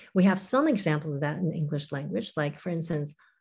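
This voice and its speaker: Somewhat breathy, a woman talks at a fairly low pitch with ordinary pitch variation. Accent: Chinese. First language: Chinese. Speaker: professor of Chinese literature. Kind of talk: interview.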